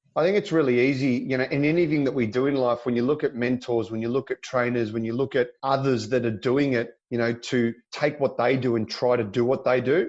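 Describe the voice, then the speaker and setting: A man talks at a fairly quick pace with hardly any pauses, in a normal speaking voice. His pitch is medium and his intonation fairly even. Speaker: auctioneer. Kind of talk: interview answer.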